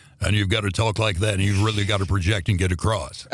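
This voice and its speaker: Putting on a booming character voice, a man talks very fast at a fairly low pitch in a monotone, flat delivery. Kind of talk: formal. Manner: fake, booming, projecting.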